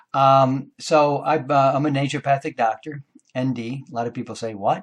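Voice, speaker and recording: A man with a plain, everyday voice, medium in pitch, with ordinary pitch variation. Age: 60s. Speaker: naturopathic doctor. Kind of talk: monologue talk to camera. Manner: casual with frequent fillers.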